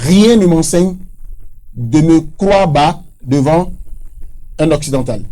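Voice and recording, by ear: A man's fairly high, dark and mellow voice at a slow pace with lively intonation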